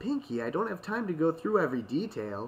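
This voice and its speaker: A man puts on a character voice, pitched high for a man. He talks at a fairly quick pace with very wide pitch swings. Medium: read story. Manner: earnest, slightly flustered.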